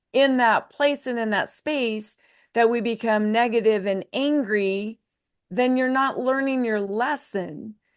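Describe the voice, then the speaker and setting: Against a quiet background, a woman speaks in an unremarkable speaking voice. Her pitch is fairly high, with ordinary variation, at a fairly slow pace. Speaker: leadership consultant and author. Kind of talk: podcast interview answer, personal reflection. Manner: reflective, earnest, conversational.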